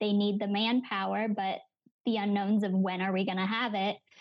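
This woman has an unremarkable speaking voice at a medium pitch. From Pennsylvania. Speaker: graduate student. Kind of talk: casual chat.

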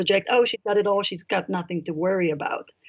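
The speaker has an Israeli accent and ordinary pitch variation. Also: woman. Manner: halting, with frequent fillers.

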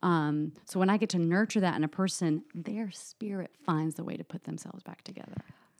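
A woman with an American accent has an unremarkable speaking voice at a medium pitch, talking at a fairly quick pace with hardly any pauses. Her loudness swings a lot, and the sound is dry and close with no echo. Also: ordinary pitch variation. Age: 30s. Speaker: psychotherapist. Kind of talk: interview.

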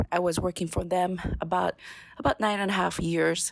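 A woman with a Japanese accent speaks with fairly even intonation in a dry, close sound with no echo. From Japan, Ibaraki Prefecture. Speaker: sake sales and marketing manager. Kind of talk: casual chat.

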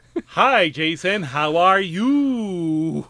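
Putting on a character voice, a man speaks at a high pitch with lively intonation. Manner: stiff, puppet-like.

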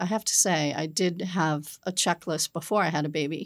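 Heard in a very clean recording with a silent background, a woman with an ordinary speaking voice talks at a moderate pace and a fairly low pitch, with ordinary pitch variation. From Massachusetts North Shore, Peabody. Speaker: property management executive. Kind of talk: interview.

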